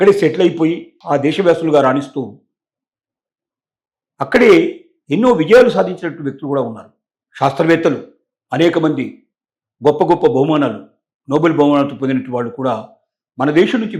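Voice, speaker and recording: Fairly high in pitch, a man speaks in a plain, everyday voice. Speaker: news analyst. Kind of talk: commentary talk to camera.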